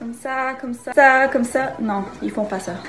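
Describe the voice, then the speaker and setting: With a Quebec accent, a woman speaks at a high pitch and a fairly slow pace, amid noticeable background noise and audible room echo. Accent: Québécois. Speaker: dancer teaching dance. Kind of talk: tutorial.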